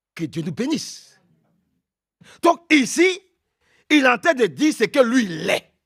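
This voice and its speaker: A man's extremely high voice, bright and sharp, at a fairly slow pace with very wide pitch swings, dry and close with no echo, on a very clean recording with a silent background. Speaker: preacher. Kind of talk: sermon. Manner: loud.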